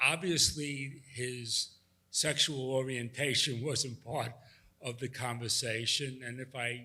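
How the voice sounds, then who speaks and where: Very slowly, a man with a New York accent speaks at a medium pitch, with a bright, sharp tone and fairly even intonation. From New York City, Manhattan. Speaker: audience member. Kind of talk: audience question.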